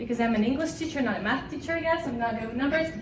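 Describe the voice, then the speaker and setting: A woman with a Russian accent speaks in a high pitch with ordinary pitch variation. The room echo is audible and the background noise noticeable. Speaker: language teacher. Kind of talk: conference presentation.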